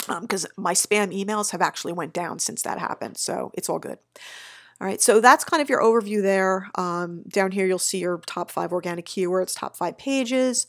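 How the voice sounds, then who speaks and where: A woman with an unremarkable speaking voice talks at a moderate pace in a medium pitch with ordinary pitch variation, on a very clean recording with a silent background. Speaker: SEO agency owner. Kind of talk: screen-share tutorial. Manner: casual, upbeat.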